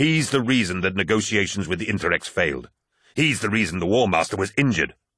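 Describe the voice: Plain reading aloud, full of lively intonation, comes through with a quiet background behind it.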